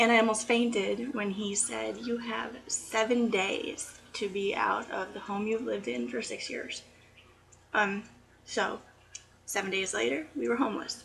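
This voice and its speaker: A fairly high-pitched woman's voice at a fairly slow pace with ordinary pitch variation, against noticeable background noise. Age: 30s. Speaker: student. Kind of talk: class speech video to camera. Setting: home, aquarium noise.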